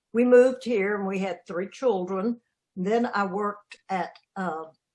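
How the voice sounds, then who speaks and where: A woman speaks with a Southern US accent. Her pace is fairly slow, and her pitch varies in an ordinary way. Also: medium pitch for a woman. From US South, Alabama (Cullman). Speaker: community group chair. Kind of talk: interview.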